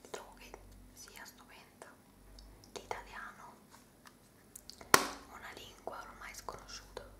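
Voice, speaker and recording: A woman whispers, soft-spoken throughout. Her pace is very slow. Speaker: beauty ASMR creator. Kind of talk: casual product review chat. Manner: soft whisper, wry self-correction. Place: home room. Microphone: phone near.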